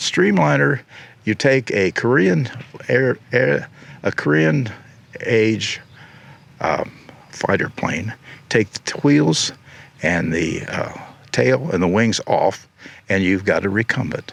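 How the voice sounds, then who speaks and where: With a Midwestern American accent, a man speaks at a very slow pace in a fairly low voice, pausing long and often. His pitch swings very widely, and there is noticeable background noise. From Ohio. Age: 80s+. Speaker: recumbent bike designer and racer. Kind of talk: interview answer. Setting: outdoors.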